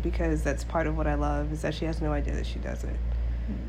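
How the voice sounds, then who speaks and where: The voice is raspy and monotone, with flat intonation, over noticeable background noise. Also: woman. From Alaska. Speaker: podcast co-host, active duty military member. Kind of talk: casual chat.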